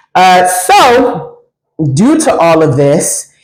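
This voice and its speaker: A woman with an American accent talks amid audible room echo. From Washington DC. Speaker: faith-based vlogger. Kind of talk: personal testimony. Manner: loud; talkative. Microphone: dying mic, audio worse toward the end.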